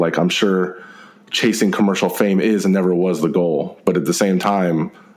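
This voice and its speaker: Noticeable background noise and audible room echo accompany a man with an American accent, his fairly low voice moving at a moderate pace. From Texas. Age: 30s. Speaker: podcast host. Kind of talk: casual interview chat.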